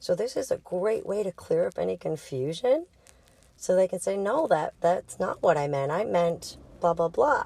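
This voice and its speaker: A woman with a strong Boston accent speaks at a moderate pace, the sound dry and close with no echo. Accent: heavy Boston. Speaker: sex and intimacy coach. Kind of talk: casual educational monologue. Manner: casual, conversational.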